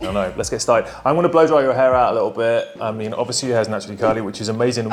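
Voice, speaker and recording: A man with a British accent talks very fast at a medium pitch, his pitch varying in an ordinary way, with music playing in the background. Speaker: hair stylist doing a styling video.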